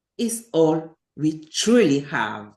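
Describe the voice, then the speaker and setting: A woman with a French accent and very wide pitch swings. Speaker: public speaking club member. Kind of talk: prepared speech.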